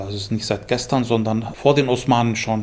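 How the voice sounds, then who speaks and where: A man with a Turkish accent, medium in pitch. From Istanbul, then Munich from age nine. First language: Turkish (speaking German). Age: 60s. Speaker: musician and composer. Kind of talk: interview.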